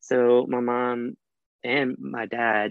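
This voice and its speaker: A man speaks with a Southern US accent. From US South (Alabama). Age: 20s. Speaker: dental student. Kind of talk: casual chat. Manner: confident public speaker.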